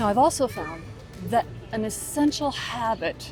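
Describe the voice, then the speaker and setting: With music in the background, a woman speaks fairly slowly at a fairly high pitch, her intonation lively. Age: 70s. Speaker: lifestyle vlogger for seniors. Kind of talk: casual talk to camera.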